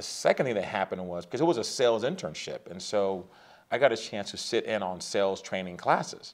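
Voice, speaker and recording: This is a plain, everyday voice from a man with an American accent, fairly low in pitch. The recording is very clean, with a silent background. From Southern California, San Diego. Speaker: sales author. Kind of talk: interview.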